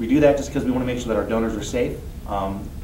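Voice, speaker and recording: A man rattles off his words very fast amid audible room echo and noticeable background noise. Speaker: blood service representative. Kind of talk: interview. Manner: hesitant with fillers.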